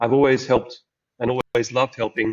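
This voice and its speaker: With an Australian accent, a man talks at a moderate pace and a medium pitch. His intonation is monotone and flat. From rural Queensland, Australia. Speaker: angel investor. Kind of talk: podcast interview. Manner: hesitant, with repetitions.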